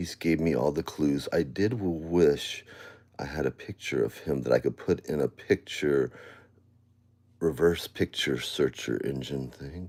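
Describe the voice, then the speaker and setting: A man talks at a fairly slow pace in a very deep, low voice with vocal fry. His pitch varies in an ordinary way. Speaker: live streamer. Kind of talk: casual live stream talk. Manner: loud.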